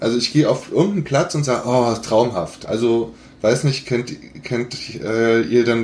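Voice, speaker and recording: Speech comes at a moderate pace. There is a somewhat breathy quality to the voice. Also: man. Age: 50s. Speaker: golf blogger and podcaster. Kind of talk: casual chat.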